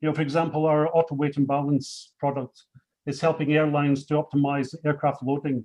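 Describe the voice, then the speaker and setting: A man with a Scottish accent speaks at a moderate pace in a fairly high pitch. His tone is dark and mellow, and his intonation is flat and monotone. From Scotland. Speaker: company executive. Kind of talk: panel speech. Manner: hesitant, many fillers.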